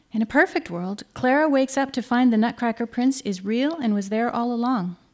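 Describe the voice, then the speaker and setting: A woman at a moderate pace, ordinary pitch variation, quiet background. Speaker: essay reader at a live show. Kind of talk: humorous personal essay reading. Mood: wry, dry humor. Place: stage. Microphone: podium.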